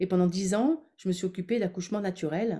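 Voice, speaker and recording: A woman's voice comes through somewhat breathy. Its tone is dark and mellow. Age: 60s. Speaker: former midwife and women's wellness coach. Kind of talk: webinar workshop with guided visualization. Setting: online webinar.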